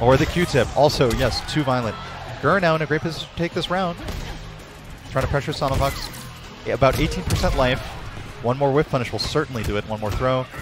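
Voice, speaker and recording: A man speaks in an energetic tone at a fairly quick pace, broken by long, frequent pauses, with ordinary pitch variation, clear music in the background and a dry sound with no echo. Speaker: esports commentator. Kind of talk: live esports match commentary. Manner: analytical, energetic. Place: hall. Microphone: headset.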